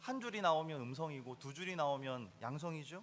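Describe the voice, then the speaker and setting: A man is speaking. His tone is bright and sharp. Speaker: pastor. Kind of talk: sermon. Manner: conversational, asks the congregation questions.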